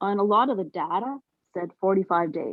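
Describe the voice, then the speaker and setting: Ordinary pitch variation and a moderate pace in a woman's medium-pitched voice. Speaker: meeting participant. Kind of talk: sharing dreams and experiences in a meeting. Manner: halting.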